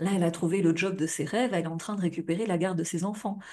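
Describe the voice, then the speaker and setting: A woman's fairly low voice, dark and mellow in tone, with flat, monotone intonation. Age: 40s. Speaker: futurologist and life coach. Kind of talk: live stream talk to viewers. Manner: casual, filler-heavy.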